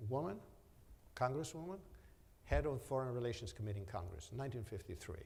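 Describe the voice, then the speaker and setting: Amid audible room echo, a man of medium pitch speaks with vocal fry. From Romania. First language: Romanian. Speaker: business executive. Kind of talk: onstage interview.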